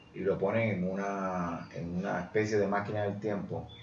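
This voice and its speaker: There is audible room echo. A man speaks through it at a moderate pace. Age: 50s. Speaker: journalist. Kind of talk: casual chat.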